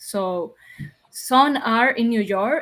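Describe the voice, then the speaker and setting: Talking at a very slow pace, a woman with a Spanish accent has a fairly high pitch. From Dominican Republic. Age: young. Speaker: podcast guest. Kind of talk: interview conversation.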